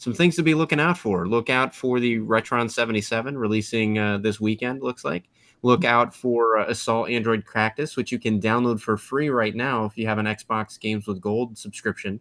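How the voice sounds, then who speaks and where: A man speaks at a moderate pace with hardly any pauses. His pitch varies in an ordinary way. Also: quiet background. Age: 30s. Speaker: podcast host. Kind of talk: casual chat. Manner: animated. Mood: relaxed, friendly. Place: home room. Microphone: webcam.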